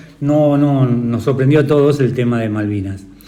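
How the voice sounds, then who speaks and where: A man's fairly high voice moves in lively intonation. Both noticeable background noise and audible room echo are heard. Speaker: interviewer, teacher. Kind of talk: interview.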